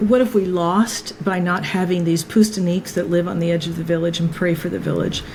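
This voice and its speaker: A woman with a fairly low pitch speaks at a fairly quick pace with hardly any pauses and fairly even intonation, against noticeable background noise. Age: 60s. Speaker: filmmaker. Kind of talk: interview conversation.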